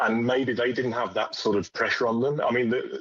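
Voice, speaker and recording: Speaking at a moderate pace with a West Midlands accent, the voice keeps a fairly even intonation. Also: man. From West Midlands, England. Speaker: sports fan. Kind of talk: radio interview. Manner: halting.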